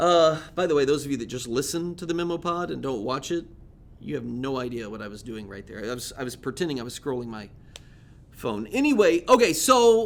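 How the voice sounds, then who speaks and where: A man speaks in an animated tone with very wide pitch swings. His pace is fairly quick. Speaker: podcast host and speaker. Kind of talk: casual monologue. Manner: conversational, animated storytelling.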